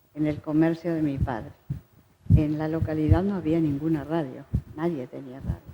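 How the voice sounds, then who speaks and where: Her very deep, low pitch holds a fairly even intonation as the woman speaks. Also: moderate pace. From Uruguay, Salto. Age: 80s+. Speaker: choir director. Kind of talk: interview.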